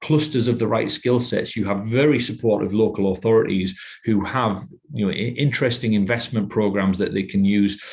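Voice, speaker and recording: A man speaks with a northeast English accent at a fairly low pitch. His pitch variation is ordinary. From northeast England, Teesside. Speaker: manager at a technology innovation centre. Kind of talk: podcast interview. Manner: halting, many repetitions.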